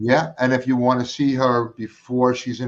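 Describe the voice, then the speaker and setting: A man speaks in a Brooklyn accent. His pitch is medium. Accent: New York (Brooklyn). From New York, Brooklyn. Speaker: talk show host. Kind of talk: casual chat. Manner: animated.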